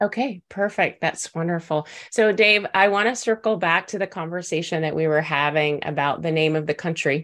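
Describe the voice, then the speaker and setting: With a Texan accent, a woman talks at a moderate pace with fairly low pitch, ordinary pitch variation and hardly any pauses, in a very clean recording with a silent background. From Texas. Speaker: podcast host. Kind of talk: interview.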